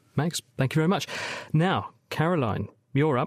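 A man's British accent with vocal fry. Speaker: radio science show host and medical doctor. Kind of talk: science Q and A phone-in show. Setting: studio.

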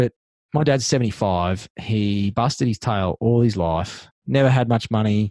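Against a quiet background, a man with an Australian accent and a dark, mellow tone speaks at a moderate pace with ordinary pitch variation, the sound dry and close with no echo. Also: fairly low pitch for a man. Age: 40s. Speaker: tradie business coach. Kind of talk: interview.

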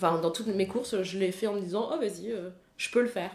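Her intonation stays fairly even, and the woman's voice sits in a medium register. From France, Paris. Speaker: ultra-distance cyclist and triathlete. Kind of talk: casual interview.

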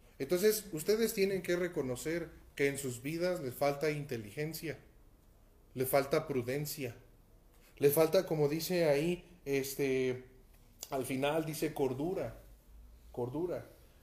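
The man's voice sits at a fairly high pitch. He speaks at a fairly slow pace, with long, frequent pauses. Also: ordinary pitch variation. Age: 30s. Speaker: pastor. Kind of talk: sermon. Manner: halting.

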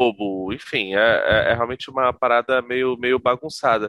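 A man talks with fairly even intonation. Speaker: podcast guest, comics fan. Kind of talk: casual chat.

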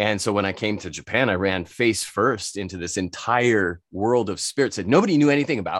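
Against a quiet background, a man with an unremarkable speaking voice talks at a moderate pace in a medium pitch, his pitch varying in an ordinary way. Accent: American. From United States. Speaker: spirits expert and entrepreneur. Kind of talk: casual interview.

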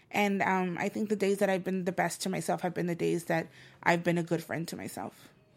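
On a very clean recording with a silent background, a woman talks at a fairly low pitch. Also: fairly quick pace. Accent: Spanish. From El Salvador, raised in Los Angeles. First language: Spanish. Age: 30s. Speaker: spoken word poet and author. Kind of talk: casual interview. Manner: animated.

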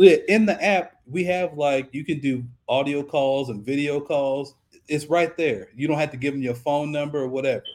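A man with an American accent, a normal speaking voice, fairly high pitch, ordinary pitch variation and a moderate pace. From South Central Los Angeles. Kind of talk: casual interview.

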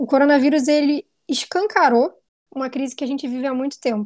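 Recorded very cleanly against a silent background, a woman speaks at a high pitch with a dark, mellow tone. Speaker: researcher, magazine editor. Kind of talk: casual discussion podcast.

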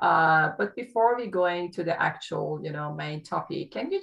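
This woman talks at a fairly slow pace in a fairly low pitch. Noticeable noise sits in the background. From Iran. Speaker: podcast host, wellness doctor. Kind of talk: interview.

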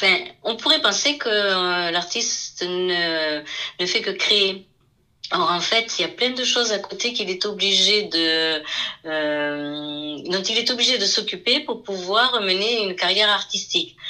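A woman talks at a very slow pace with lively intonation. Noticeable background noise is present. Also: medium pitch for a woman. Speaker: painter. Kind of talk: interview.

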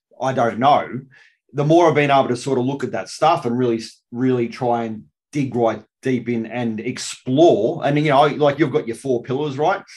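A man with an Australian accent, medium pitch, ordinary pitch variation and a moderate pace. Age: 40s. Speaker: podcast host, army veteran. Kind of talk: casual interview.

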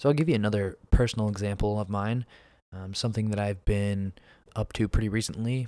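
A dark, mellow tone in an American accent moves at a fairly quick pace over a very clean recording with a silent background. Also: man, fairly low pitch for a man, fairly even intonation. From US Northeast, Pennsylvania. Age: 20s. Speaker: podcast host. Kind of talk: solo monologue podcast. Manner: casual, frequent fillers (um, uh).

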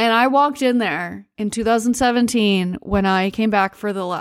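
A woman with a plain, everyday voice speaks in a fairly high pitch with ordinary pitch variation on a very clean recording with a silent background. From United States. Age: 40s. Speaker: podcast host, travel storyteller. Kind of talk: solo storytelling monologue. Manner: casual, many fillers and laughs.

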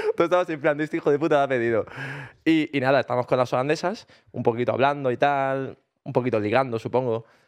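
Delivered very fast, the speech carries ordinary pitch variation. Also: man, medium pitch for a man. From Granada, Spain. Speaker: podcast co-host. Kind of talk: casual chat.

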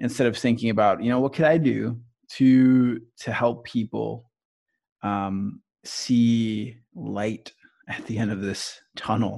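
On a very clean recording with a silent background, a man of medium pitch speaks at a very slow pace with fairly even intonation. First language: Spanish. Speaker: youth pastor and podcast co-host. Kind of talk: casual chat about scripture. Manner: hesitant, many fillers.

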